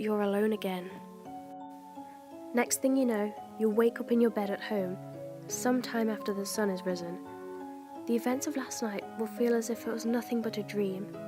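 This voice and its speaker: Soft-spoken and at a moderate pace, a woman talks with long, frequent pauses while music plays in the background. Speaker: creepypasta narrator. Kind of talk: horror story narration. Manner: quiet, soft-spoken with emphasised words.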